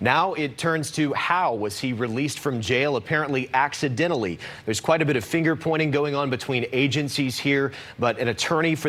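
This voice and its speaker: There is noticeable background noise. A man talks at a fairly quick pace with ordinary pitch variation. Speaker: news reporter. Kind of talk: live TV news report.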